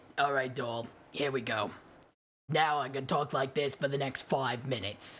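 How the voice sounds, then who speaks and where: A raspy, husky put-on character voice from a man at medium pitch. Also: moderate pace. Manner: throaty, breathy.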